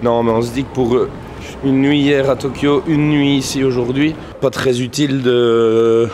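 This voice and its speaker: A man of medium pitch speaks at a fairly slow pace. There is noticeable background noise. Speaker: vlogger. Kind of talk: casual vlog chat. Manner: animated; loud.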